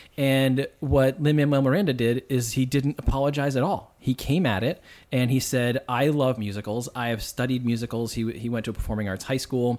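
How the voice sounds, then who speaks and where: With an American accent, a man speaks at a moderate pace in a medium pitch, using ordinary pitch variation. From US Northeast, Boston suburbs. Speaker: musical theater lyricist and playwright. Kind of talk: casual chat.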